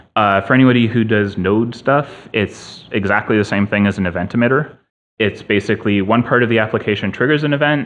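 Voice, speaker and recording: Very fast speech comes from a man. The pitch moves with ordinary variation. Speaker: conference presenter. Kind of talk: technical talk. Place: hall.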